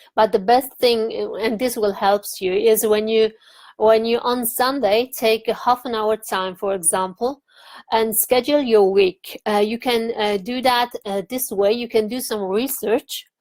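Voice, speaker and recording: A woman with a non-native accent, fairly slow and fairly even in intonation, in a dry, close recording with no echo. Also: fairly high pitch for a woman. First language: not English. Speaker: online marketing vlogger. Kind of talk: tutorial. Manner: halting, many fillers.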